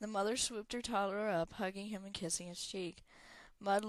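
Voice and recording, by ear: Natural-voiced reading aloud, its intonation fairly even throughout.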